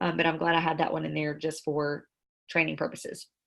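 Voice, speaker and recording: Very fast speech comes from a woman. She has a Southern US accent. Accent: Southern country. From Mississippi (Star). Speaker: network marketing trainer. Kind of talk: tutorial. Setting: video call.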